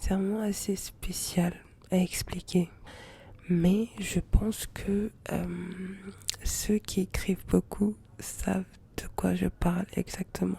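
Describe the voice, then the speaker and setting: Soft-spoken and relaxed, a woman talks at a very slow pace with long, frequent pauses. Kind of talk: ASMR soft-spoken intimate chat to camera. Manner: soft-spoken, relaxed, intimate.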